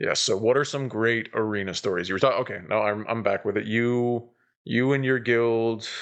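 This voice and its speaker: The pace is moderate. Intonation stays fairly even throughout. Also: man, medium pitch for a man. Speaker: podcast host. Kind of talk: casual chat. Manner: loud. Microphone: poor quality, sounds faint like a ghost.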